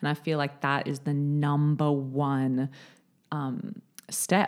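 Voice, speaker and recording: A woman speaks with an Australian accent in a very deep, low pitch. The recording is very clean, with a silent background. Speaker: podcast co-host. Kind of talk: casual chat. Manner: animated.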